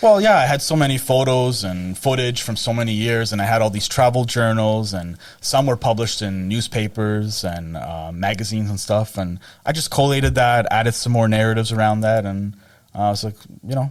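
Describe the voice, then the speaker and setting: A man with a Canadian accent speaks in a normal speaking voice at a medium pitch, fairly quick pace and ordinary pitch variation. The recording is very clean with a silent background. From Canada, Toronto Portuguese community. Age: 30s. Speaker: writer. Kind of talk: podcast interview.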